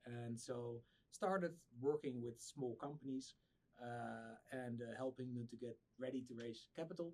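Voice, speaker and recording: Speaking at a moderate pace, a man has a dark, mellow tone and medium pitch with ordinary pitch variation. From Netherlands. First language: Dutch. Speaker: startup founder. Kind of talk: podcast interview. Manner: halting, many repeated words.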